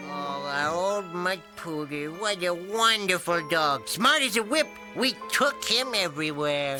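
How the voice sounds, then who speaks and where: A man's high, cartoonish character voice at a fairly slow pace, with clear music in the background. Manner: gruff, cackling.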